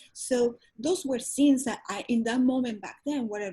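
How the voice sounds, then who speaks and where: A woman's fairly high voice with a dark, mellow tone. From Venezuela. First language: Spanish. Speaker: holistic wellness coach. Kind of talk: interview. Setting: radio or podcast interview.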